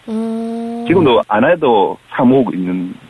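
In a Busan accent, a man speaks with very wide pitch swings. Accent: Gyeongsang (Busan) dialect. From Busan, South Korea. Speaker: amateur band club leader. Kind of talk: phone interview. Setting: phone call.

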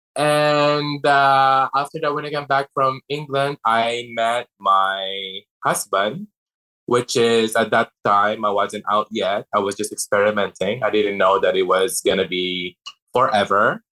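A man speaks at medium pitch and a fairly slow pace, with a bright, sharp tone and ordinary pitch variation. The sound is dry and close with no echo, on a very clean recording with a silent background. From Philippines. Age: 30s. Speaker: drag performer. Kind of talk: interview.

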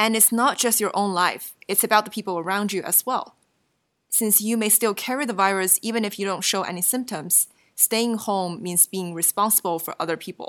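Over a very clean recording with a silent background, a woman with a Chinese accent speaks at medium pitch and a moderate pace, with ordinary pitch variation. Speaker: podcast host. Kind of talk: scripted conversational podcast.

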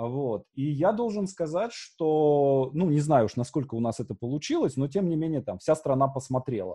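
Against a quiet background, a man with a fairly high pitch and a dark, mellow tone sounds somewhat breathy, using lively intonation at a moderate pace with hardly any pauses. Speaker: podcast host. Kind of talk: casual interview chat.

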